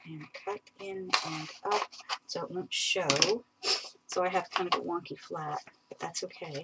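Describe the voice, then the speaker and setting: Over noticeable background noise, a woman with a fairly low pitch speaks at a fairly slow pace with fairly even intonation, big swings in loudness and long, frequent pauses. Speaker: papercraft tutorial creator. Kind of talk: live crafting tutorial. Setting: live stream.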